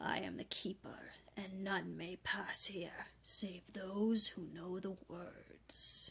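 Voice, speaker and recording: Using a put-on character voice, a woman speaks at a very slow pace with hardly any pauses. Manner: menacing, ominous, formal.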